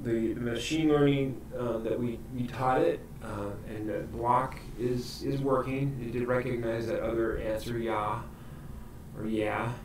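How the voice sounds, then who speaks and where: A man speaks at medium pitch and a fairly slow pace with fairly even intonation. Audible room echo and noticeable background noise are present. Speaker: library coding instructor. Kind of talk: tutorial.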